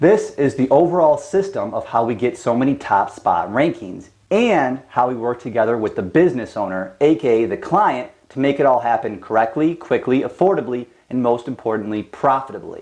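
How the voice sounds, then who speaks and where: A man with a medium pitch talks with lively intonation and hardly any pauses. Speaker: SEO business owner. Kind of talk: presentation. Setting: whiteboard room with camera. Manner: fast.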